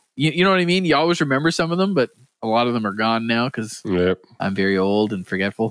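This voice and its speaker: Talking at a very fast pace, a man with an Atlantic Canadian accent uses a medium pitch that swings very widely. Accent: east coast Canadian, mistaken for Southern US. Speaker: podcast co-host. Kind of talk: casual banter among friends.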